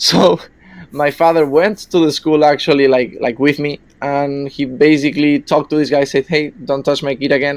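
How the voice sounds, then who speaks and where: This man speaks with a Spanish accent at a moderate pace. His pitch is fairly high and his intonation fairly even. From Spain. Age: 20s. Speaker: caller. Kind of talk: personal story on call-in podcast.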